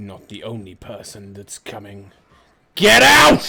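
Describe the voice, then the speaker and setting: A man performs a put-on character voice with a rumbling sound. His pitch is medium, and the pace is fairly slow. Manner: commanding, menacing.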